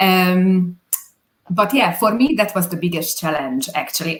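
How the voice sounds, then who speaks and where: A woman's medium-pitched voice with a Hungarian accent. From Hungary. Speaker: business owner, video producer. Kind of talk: interview. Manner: halting.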